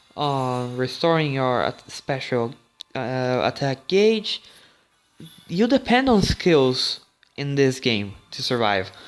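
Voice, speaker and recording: Music plays in the background as a man speaks at a very slow pace. His medium-pitched voice has lively intonation. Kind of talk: casual gaming commentary. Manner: stuttering.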